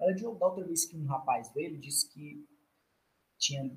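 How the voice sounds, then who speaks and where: A man with a bright, sharp tone swings very widely in pitch. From Brazilian Northeast, Ceará (Fortaleza). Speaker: doctoral student in food engineering. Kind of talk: interview, casual chat.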